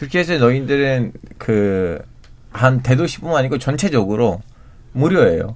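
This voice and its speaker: A man at medium pitch with lively intonation, a moderate pace and long, frequent pauses. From Turkey. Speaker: journalist. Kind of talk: radio panel discussion. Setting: radio studio. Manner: halting, searches for words.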